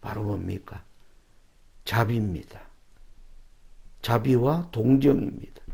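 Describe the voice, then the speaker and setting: At a very slow pace with long, frequent pauses, a man speaks at medium pitch in a dark, mellow, somewhat breathy tone with ordinary pitch variation. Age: 60s. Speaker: preacher. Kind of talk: sermon.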